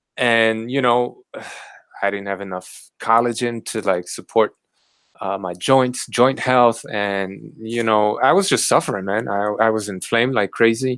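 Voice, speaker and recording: The recording is very clean with a silent background, carrying a man's ordinary speaking voice in an American accent. His pitch is medium, his intonation fairly even and his pace fairly slow. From Southern California. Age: 40s. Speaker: carnivore diet YouTuber. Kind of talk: casual chat.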